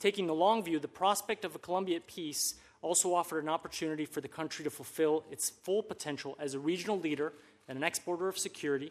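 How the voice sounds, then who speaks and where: At a very fast pace, a man speaks in a high pitch with ordinary pitch variation. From Colombian American. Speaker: former government official, policy expert. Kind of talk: testimony.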